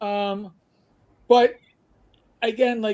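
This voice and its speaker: A man with a New York accent speaks in a high voice that has a dark, mellow tone. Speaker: podcaster. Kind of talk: casual chat. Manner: animated.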